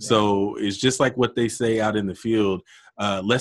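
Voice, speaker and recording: Speaking in a normal speaking voice, a man keeps a fairly low pitch and a moderate pace. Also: very clean recording, silent background. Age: 30s. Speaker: podcast host, entrepreneur. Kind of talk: casual interview.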